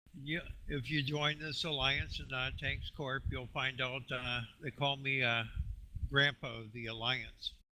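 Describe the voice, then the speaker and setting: A man speaks at a fairly slow pace in a medium pitch, his bright, sharp tone held to a monotone, flat intonation. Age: 60s. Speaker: gamer, alliance recruiter. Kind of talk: casual chat. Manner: hesitant with many fillers.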